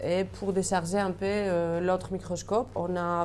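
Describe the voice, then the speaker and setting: This woman talks at a moderate pace in a Greek accent, her medium pitch held in a monotone, flat intonation. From Greece. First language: Greek (speaking French). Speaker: electron microscopy engineer. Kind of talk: workplace portrait interview. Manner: hesitant, many fillers.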